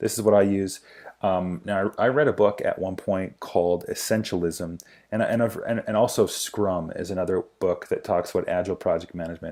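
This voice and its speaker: The background is silent and the recording very clean. A man talks fairly quickly. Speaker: business productivity vlogger. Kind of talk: tutorial. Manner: fast.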